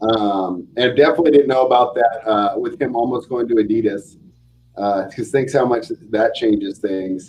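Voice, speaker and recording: He has an ordinary speaking voice, pitched in the middle range for a man. His delivery is fairly quick and his pitch varies in an ordinary way. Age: 40s. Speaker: sports betting podcast host. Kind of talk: casual chat.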